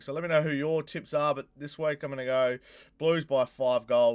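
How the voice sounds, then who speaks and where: A man speaks with an Australian accent. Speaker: YouTuber, football tipster. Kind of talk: casual vlog predictions.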